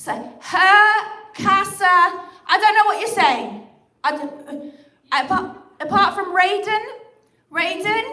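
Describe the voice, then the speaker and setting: In a room with audible echo, a woman with an extremely high, bright and sharp voice projects it loudly, speaking very slowly with lively intonation and long, frequent pauses. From England. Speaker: comedian. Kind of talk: stand-up; livestream chat. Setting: livestream. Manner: animated.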